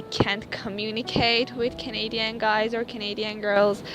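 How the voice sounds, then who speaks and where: Over noticeable background noise, a woman speaks at a fairly high pitch and a moderate pace in a monotone, flat way. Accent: Persian. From Iran. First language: Persian. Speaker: university student, immigrant interviewee. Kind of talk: interview. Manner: hesitant, many fillers.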